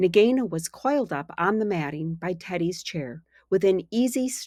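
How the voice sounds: A natural reading voice with lively intonation.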